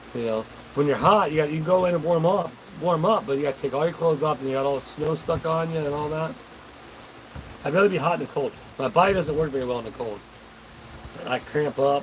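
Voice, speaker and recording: Talking at a very fast pace, this man has a fairly high pitch and ordinary pitch variation, with long, frequent pauses and noticeable background noise. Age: 40s. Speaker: livestreamer reading viewer chat. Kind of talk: casual live-stream chat. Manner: animated.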